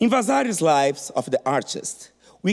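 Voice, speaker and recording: A man talks with a non-native accent. His pitch swings very widely. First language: not English. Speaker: art historian. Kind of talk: conference talk.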